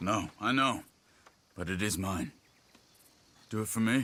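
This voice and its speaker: A man speaks in a put-on character voice at fairly low pitch. His pace is moderate and his pitch variation ordinary. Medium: video game. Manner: calm, low-key, sincere.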